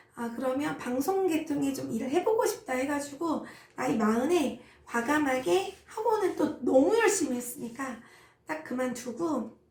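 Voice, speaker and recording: A woman talks with lively intonation, and audible room echo can be heard around her. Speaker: insurance team leader. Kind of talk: personal story. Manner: casual, many fillers.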